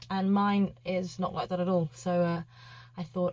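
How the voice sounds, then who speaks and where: A woman with a British accent speaks in a somewhat breathy voice, fairly low in pitch. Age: 20s. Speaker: vlogger and yacht chef. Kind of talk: casual vlog chat. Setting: small cabin on a boat. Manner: casual, hesitant with many fillers.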